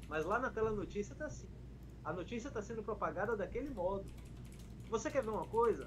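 A man speaks at a very fast pace. His speech is broken by long, frequent pauses. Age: 30s. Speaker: pagode musician and internet personality. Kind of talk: casual chat.

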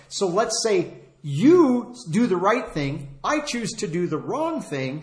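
A man speaks at a very slow pace, his pitch swinging very widely. Audible room echo and noticeable background noise surround him. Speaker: preacher. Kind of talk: sermon. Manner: halting.

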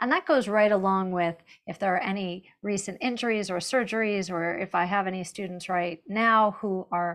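With a plain, everyday voice, a woman speaks at medium pitch and a moderate pace, her intonation fairly even over a quiet background. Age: 50s. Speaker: fitness instructor. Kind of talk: webinar panel discussion.

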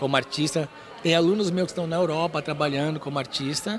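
Noticeable background noise sits behind a man's voice. His pitch is fairly high, with ordinary variation. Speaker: trapeze artist and circus teacher. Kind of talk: interview.

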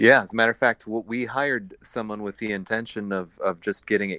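A man with an American accent, a fairly low pitch and a bright, sharp tone, talking at a very fast pace in a dry, close sound with no echo. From Iowa. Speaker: brewery co-founder. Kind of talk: casual interview. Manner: halting.

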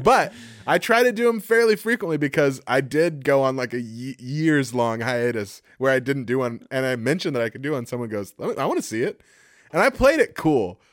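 A man talks fairly quickly in a medium pitch with lively intonation, a plain, everyday voice, on a very clean recording with a silent background. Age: 30s. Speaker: podcast co-host. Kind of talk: casual chat.

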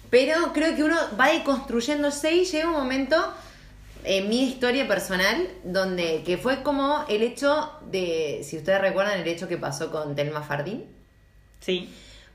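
A woman's high voice at a fairly slow pace with very wide pitch swings, amid noticeable background noise and audible room echo. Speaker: feminist podcast co-host. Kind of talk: casual chat.

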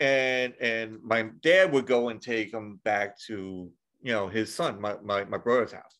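A man speaks in a normal speaking voice at a medium pitch. His pitch varies in an ordinary way against a quiet background. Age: 40s. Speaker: podcast host. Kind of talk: casual chat.

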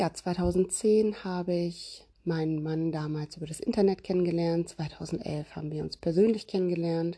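A woman speaks in a normal speaking voice at a moderate pace, her fairly low pitch held in fairly even intonation with hardly any pauses. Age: 30s. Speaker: parenting podcast host. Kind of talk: casual monologue.

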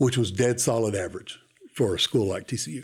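A man's medium-pitched, somewhat breathy voice on a very clean recording with a silent background. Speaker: university enrollment administrator. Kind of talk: interview. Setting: studio.

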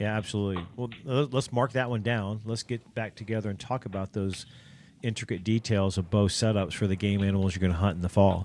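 In an American accent, a man talks in a normal speaking voice at a fairly low pitch and a fairly quick pace. His intonation is fairly even, and the recording is very clean with a silent background. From Ohio. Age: 50s. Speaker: podcast host and archery shop owner. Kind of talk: casual chat.

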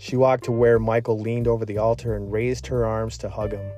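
The speaker reads in an unforced reading voice. The delivery stays that way throughout.

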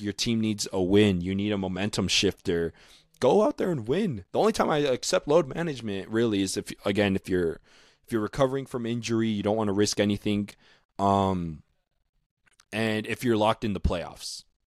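A man with a plain, everyday voice speaks at a fairly low pitch and moderate pace with ordinary pitch variation, the sound dry and close with no echo on a very clean recording with a silent background. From Utah. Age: 20s. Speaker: basketball podcast host. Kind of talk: solo podcast monologue.

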